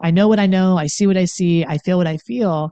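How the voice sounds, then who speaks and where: Against a quiet background, a woman with an American accent speaks in a fairly low pitch with a dark, mellow tone. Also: dry, close sound with no echo. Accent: Appalachian, comes out at times. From Appalachia, Pennsylvania near West Virginia. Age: 50s. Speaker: coach and author on addiction. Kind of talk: talk to viewers on healing. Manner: casual, animated.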